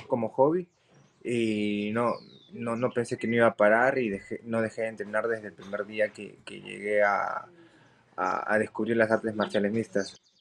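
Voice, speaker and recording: A man talks at a fairly slow pace with a medium pitch. There is light background noise. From Peru. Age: 20s. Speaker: MMA fighter; interviewee. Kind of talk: interview. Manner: halting. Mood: confident, determined. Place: home room. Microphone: video call.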